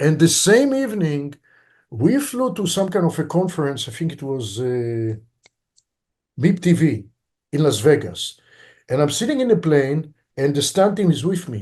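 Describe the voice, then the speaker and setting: Pausing long and often, a man speaks at a moderate pace at a fairly high pitch with very wide pitch swings. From Israel, Tel Aviv. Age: 60s. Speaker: film director. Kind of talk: interview.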